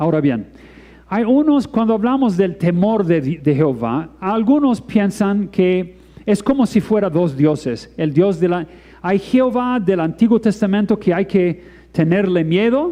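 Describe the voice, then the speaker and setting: Speaking at a fairly slow pace, a man with a high pitch uses lively intonation while keeping his loudness very even. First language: not Spanish (speaking Spanish). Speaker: preacher. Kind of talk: sermon. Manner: halting.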